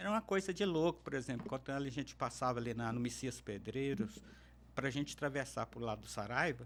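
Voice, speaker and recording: A man at a medium pitch with vocal fry, a fairly quick pace and lively intonation. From Minas Gerais, Alto Paranaíba region. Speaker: interview guest, public servant. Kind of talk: podcast interview. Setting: studio.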